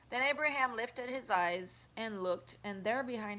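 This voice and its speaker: A woman talks with a French Canadian accent. Her tone is bright and sharp, and her intonation is lively. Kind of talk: Bible reading. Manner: careful, sometimes halting.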